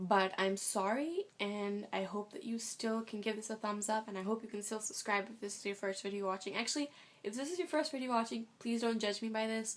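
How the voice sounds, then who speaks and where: Soft-spoken and fairly high-pitched, a woman talks at a fairly quick pace with hardly any pauses. Her pitch varies in an ordinary way. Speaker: vlogger. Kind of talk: casual vlog. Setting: at home. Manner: fast.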